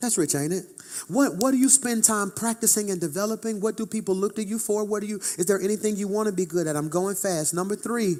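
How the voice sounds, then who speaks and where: This man talks at a very fast pace in a high voice, his tone animated and his pitch varying in an ordinary way. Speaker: pastor. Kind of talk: sermon. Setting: church.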